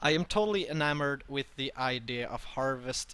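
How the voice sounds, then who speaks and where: Bright and sharp in tone, a man speaks with a non-native accent. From Sweden. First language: Swedish. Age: 20s. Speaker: streamer and interviewer. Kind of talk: interview. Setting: live stream interview. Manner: halting.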